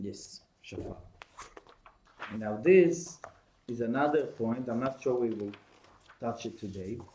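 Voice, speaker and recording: Speaking with an Israeli accent at a medium pitch, the man moves at a fairly slow pace with long, frequent pauses and lively intonation, and the room echo is audible. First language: Hebrew. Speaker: course teacher. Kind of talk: lecture. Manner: halting.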